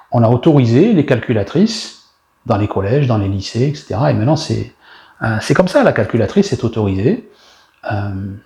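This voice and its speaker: The voice has a dark, mellow tone, somewhat breathy, with lively intonation and a fairly quick pace. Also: man, medium pitch for a man. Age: 60s. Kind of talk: sermon. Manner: animated.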